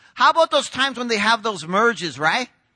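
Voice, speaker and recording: A man's high, bright, sharp voice, raised and projected, with very wide pitch swings and a dry, close sound with no echo. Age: 40s. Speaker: pastor. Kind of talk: sermon.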